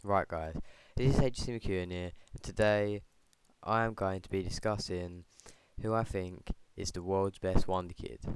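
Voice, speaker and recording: This man is soft-spoken, with a very deep, low pitch. His loudness swings widely and he takes long, frequent pauses. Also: fairly even intonation, moderate pace, very clean recording, silent background. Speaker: football vlogger. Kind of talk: casual vlog commentary. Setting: at home late at night. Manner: quiet, soft-spoken.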